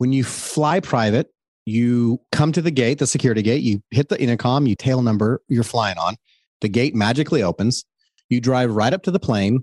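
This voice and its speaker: A man with an American accent speaks in an ordinary speaking voice at a moderate pace and medium pitch, with ordinary pitch variation. His loudness is very even, and the sound is dry and close with no echo against a quiet background. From US West (Colorado and San Diego, California). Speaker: entrepreneur and author. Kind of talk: interview.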